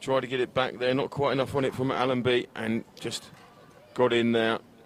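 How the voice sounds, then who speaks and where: A man with an English accent speaks at a medium pitch in a monotone, flat intonation. Noticeable background noise runs underneath. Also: moderate pace. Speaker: football commentator. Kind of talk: live commentary with interview. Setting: live stream at a football pitch.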